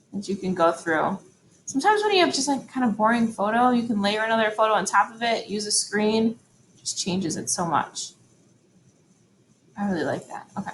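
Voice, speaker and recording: A woman's somewhat breathy voice moves at a fairly quick pace, with a fairly high pitch and ordinary pitch variation. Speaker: photography teacher. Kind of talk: tutorial. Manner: fast; casual, hesitant with fillers.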